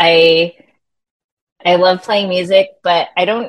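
A woman with an American accent, medium pitch and fairly even intonation. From US West Coast, San Francisco Bay Area. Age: 30s. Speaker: musician and PR company owner. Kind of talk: casual chat.

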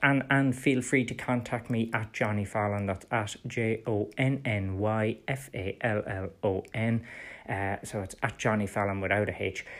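A man's medium-pitched voice, fairly even in intonation, comes through a very clean recording with a silent background. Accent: Irish. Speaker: political podcast host. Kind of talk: solo political commentary.

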